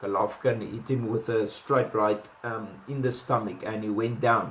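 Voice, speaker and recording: A man speaks in a flat, monotone way with a South African accent. Noticeable background noise runs behind him. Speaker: boxing commentator. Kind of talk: casual analysis monologue. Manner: hesitant, many fillers and restarts.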